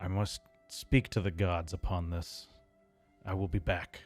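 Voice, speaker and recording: Over faint music in the background, a man does a put-on character voice that is raspy and very deep and low in pitch, at a moderate pace. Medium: actual play. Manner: terse, solemn.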